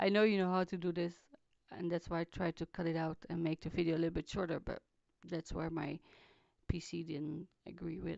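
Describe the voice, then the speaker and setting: Soft-spoken and fairly low in pitch, a woman talks in a flat monotone with long, frequent pauses. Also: fairly quick pace. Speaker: craft video maker. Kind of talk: tutorial voiceover. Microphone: too quiet recording.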